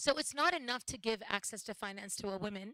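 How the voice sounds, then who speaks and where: A woman with an American accent speaks at a moderate pace in a fairly high voice with a bright, sharp tone. The sound is dry and close, with no echo. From United States. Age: 40s. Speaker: social entrepreneur. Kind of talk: panel talk at live event.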